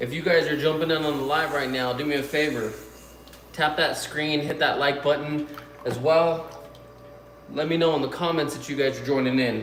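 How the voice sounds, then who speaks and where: A man at a fairly high pitch with monotone, flat intonation, a moderate pace and long, frequent pauses, amid audible room echo and noticeable background noise. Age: 30s. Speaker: YouTuber and potter. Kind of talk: live stream chat. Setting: live stream. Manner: casual, filler-heavy.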